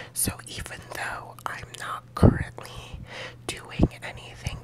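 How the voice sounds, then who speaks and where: Whispering at a very slow pace, a woman is heard amid noticeable background noise. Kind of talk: ASMR whispering life update to camera. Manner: whispered, soft-spoken.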